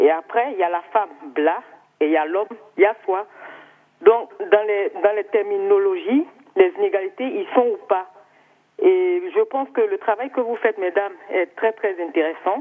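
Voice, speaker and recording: A woman with an Ivorian accent talks at a moderate pace, her fairly high pitch making very wide swings. She leaves long, frequent pauses. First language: Baoulé (speaking French). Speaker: TV viewer caller. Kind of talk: call-in comment. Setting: phone call.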